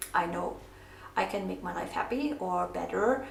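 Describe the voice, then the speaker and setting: Speaking at a moderate pace with a non-native accent, a woman is heard with audible room echo and noticeable background noise. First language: not English. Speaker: craft vlogger. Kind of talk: casual craft tutorial with personal talk. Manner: hesitant, many fillers.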